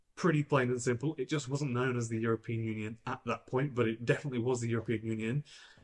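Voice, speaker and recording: In a quiet background, a man speaks in a somewhat breathy voice with ordinary pitch variation. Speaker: EV channel host. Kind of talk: explainer commentary to camera. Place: studio.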